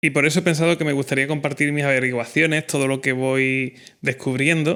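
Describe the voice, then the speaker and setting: At a fairly quick pace, the voice has a bright, sharp tone and monotone, flat intonation on a very clean recording with a silent background. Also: man, fairly high pitch for a man. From Spain, Cádiz (Andalusia). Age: 30s. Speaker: podcast host, filmmaker. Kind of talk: podcast monologue.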